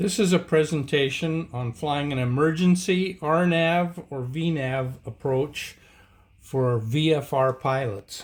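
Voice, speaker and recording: A man speaks at a very slow pace in a fairly high pitch. His voice is somewhat breathy, with ordinary pitch variation. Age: 70s. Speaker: amateur pilot and aircraft builder. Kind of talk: presentation. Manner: casual, with hesitations.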